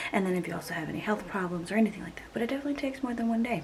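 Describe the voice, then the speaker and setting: A woman speaks softly. Audible room echo and noticeable background noise surround her voice. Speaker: cleaning and mom vlogger. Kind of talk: vlog narration. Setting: at home. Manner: quiet, soft-spoken; casual, hesitant with fillers.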